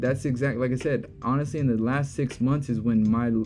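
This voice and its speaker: With music in the background, a man talks at medium pitch and a moderate pace, with ordinary pitch variation. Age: 30s. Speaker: trading streamer. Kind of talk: live stream Q&A. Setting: live stream. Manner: casual.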